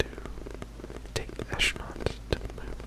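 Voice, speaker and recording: Noticeable background noise surrounds a man's whisper. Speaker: ASMR creator. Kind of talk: ASMR facts reading. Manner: whispered, soft-spoken.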